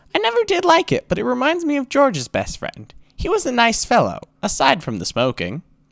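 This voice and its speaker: In a put-on character voice, the speaker goes at a fairly quick pace with a fairly high pitch. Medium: read story. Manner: light, chatty, innocent.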